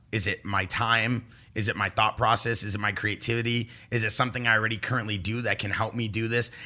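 A man speaks at a very fast pace with a medium pitch and a bright, sharp tone. The recording is very clean, with a silent background. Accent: Californian. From Los Angeles, California. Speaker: pro paintballer and entrepreneur. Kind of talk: casual chat. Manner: animated.

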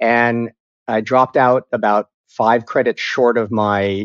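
The speaker is a man of medium pitch with a normal speaking voice. His sound is dry and close with no echo, over a quiet background. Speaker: television writer. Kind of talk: casual interview chat.

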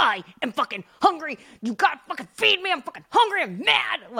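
In a put-on character voice, the speaker goes at a fairly quick pace with a high pitch and very wide pitch swings. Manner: barking, angry and demanding.

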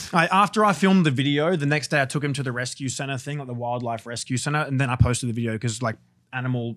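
A man with an Australian accent talks at a very fast pace with hardly any pauses, his pitch medium and its variation ordinary. The recording is very clean, with a silent background. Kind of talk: casual chat.

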